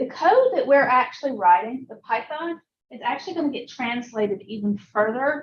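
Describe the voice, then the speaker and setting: Speaking at a moderate pace with a Southern US accent, a woman has a high pitch and ordinary pitch variation. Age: old. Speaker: computer science teacher. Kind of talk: lecture.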